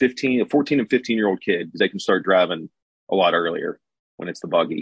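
This man has an ordinary speaking voice at medium pitch. He talks at a moderate pace with lively intonation. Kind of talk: casual chat.

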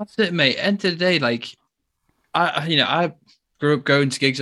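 Speaking at a very fast pace, a man talks in an English accent. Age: 20s. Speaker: metal guitarist. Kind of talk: casual chat. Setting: video call.

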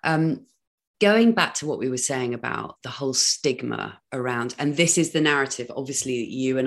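A woman with a British accent speaks in a very deep, low pitch with ordinary pitch variation against a quiet background. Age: 40s. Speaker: podcast host. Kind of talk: casual interview chat. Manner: animated.

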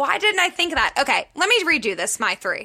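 In an American accent, a woman projects a raised voice with a bright, sharp tone. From Pittsburgh, US. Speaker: podcast co-host, book reviewer. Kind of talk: casual chat.

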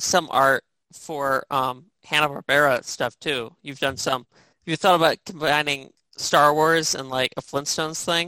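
On a very clean recording with a silent background, a speaker with an American accent talks at a fairly slow pace.

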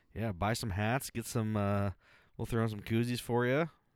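In a very clean recording with a silent background, a man with an American accent talks at a fairly slow pace. He has an ordinary speaking voice at medium pitch. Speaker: podcast host. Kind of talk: casual chat.

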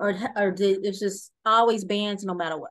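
A woman uses a plain, everyday voice at a moderate pace with fairly even intonation. The background is quiet. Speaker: podcast host. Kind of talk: interview.

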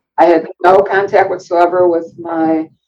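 With an American accent, a woman talks at a fairly slow pace. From US Midwest. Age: 60s. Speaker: DNA surprise story guest. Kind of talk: personal testimony interview. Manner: halting, many fillers.

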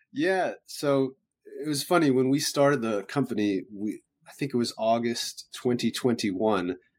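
Using an ordinary speaking voice, a man talks fairly slowly at medium pitch with ordinary pitch variation. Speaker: startup founder. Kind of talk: interview chat.

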